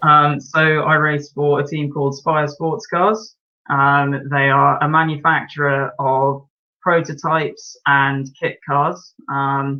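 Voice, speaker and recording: With an English accent, this man talks at a very slow pace in a fairly high pitch, his intonation fairly even. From English Midlands, Birmingham. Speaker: racing driver. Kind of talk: interview. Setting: live stream.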